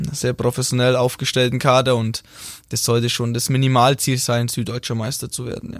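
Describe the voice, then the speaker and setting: With a Franconian accent, a man speaks at a fairly quick pace and a medium pitch. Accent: Franconian, rolled R. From Franconia, Bavaria (Middle Franconia). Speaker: futsal player, national team captain. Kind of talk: casual interview. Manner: hesitant with many fillers.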